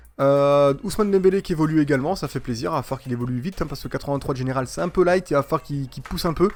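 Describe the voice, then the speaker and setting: The recording is very clean, with a silent background. A man with a fairly high pitch talks at a very fast pace with lively intonation. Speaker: gaming YouTuber. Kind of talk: gameplay commentary. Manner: hesitant, many fillers; fast when annoyed.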